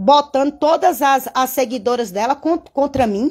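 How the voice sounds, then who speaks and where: In a Bahian accent, a woman speaks with an animated tone at a fairly slow pace against a quiet background. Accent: Bahian Brazilian Portuguese. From interior of Bahia, Brazil. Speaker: bow-making artisan and craft YouTuber; craft YouTuber. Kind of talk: live-stream craft tutorial and chat. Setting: home studio. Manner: animated, chatty. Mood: animated, venting at times. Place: workshop. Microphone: phone near.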